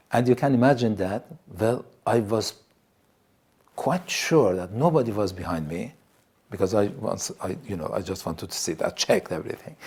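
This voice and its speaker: A man's medium-pitched voice with an Iranian accent and very wide pitch swings. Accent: Iranian Assyrian accent in English. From Iran, Assyrian community. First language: Assyrian. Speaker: TV presenter. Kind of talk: testimony. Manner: halting.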